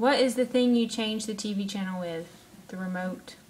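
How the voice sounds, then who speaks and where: A woman talks at a moderate pace with a fairly high pitch and lively intonation. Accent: Southern US. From Alabama. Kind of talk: casual talk to camera, word list reading. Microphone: webcam.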